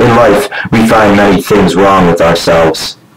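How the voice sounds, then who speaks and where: In a put-on character voice, a man uses a solemn tone at a fairly low pitch. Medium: short film. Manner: solemn, cryptic, declamatory.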